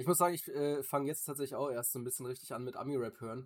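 A man talking at a very fast pace. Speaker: podcast co-host. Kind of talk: casual chat.

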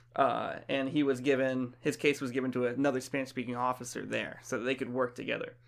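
Speaking very fast, a man keeps a medium pitch with monotone, flat intonation. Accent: American. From Florida, US South. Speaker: podcast co-host. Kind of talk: casual chat.

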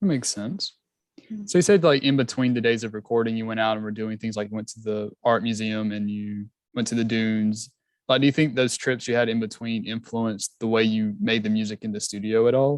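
A man speaks at a fairly quick pace with a Southern US accent. The background is quiet. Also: medium pitch for a man, fairly even intonation. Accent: Southern American. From South Georgia, US. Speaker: music podcast host. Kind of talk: casual interview.

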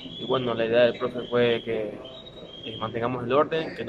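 Through noticeable background noise comes a man's voice at a medium pitch. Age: 20s. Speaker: footballer. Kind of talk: interview.

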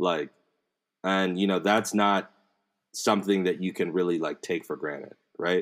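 Against a silent background in a very clean recording, a man with an American accent speaks at a very deep, low pitch in monotone, flat intonation with long, frequent pauses. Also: moderate pace. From DMV area, Maryland (US Mid-Atlantic). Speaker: podcast host. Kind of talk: casual conversation.

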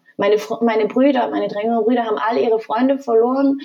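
This woman's voice sits at a fairly high pitch. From Germany. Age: 30s. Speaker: flight attendant. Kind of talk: personal testimony in podcast interview.

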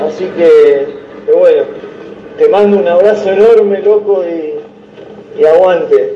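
A man talks at a very slow pace. Audible room echo and noticeable background noise surround him. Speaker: caller. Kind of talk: casual chat. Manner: halting.

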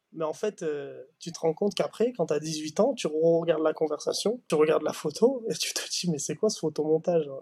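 Talking at a fairly quick pace with hardly any pauses, a man with a plain, everyday voice shows ordinary pitch variation. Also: fairly high pitch for a man. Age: young. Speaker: young footballer. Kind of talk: interview.

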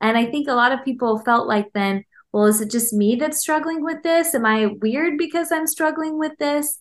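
A high-pitched woman at a moderate pace, with lively intonation and hardly any pauses, over a quiet background. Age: 30s. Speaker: clinical psychologist and author. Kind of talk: casual interview.

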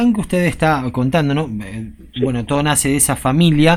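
A normal speaking voice from a man, fairly high in pitch, with lively intonation. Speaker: radio host. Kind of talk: radio interview.

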